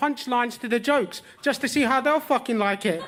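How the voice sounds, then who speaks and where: Noticeable background noise sits behind a man's voice. His pitch is extremely high, and he speaks at a very fast pace. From southern England, Wimbledon (London). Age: 30s. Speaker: stand-up comedian. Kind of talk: stand-up. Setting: stage with audience.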